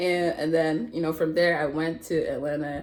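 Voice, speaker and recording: Audible room echo is present. It surrounds a woman as she talks. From Nigeria. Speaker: guest. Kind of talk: casual chat.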